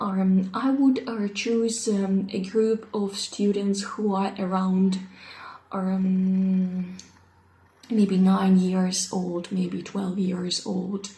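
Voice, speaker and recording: Slow to a very great degree, the voice speaks in a Russian accent with a dark, mellow, somewhat breathy tone and monotone, flat intonation. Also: woman, medium pitch for a woman. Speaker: English teacher. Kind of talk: self-introduction video. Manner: halting, many fillers.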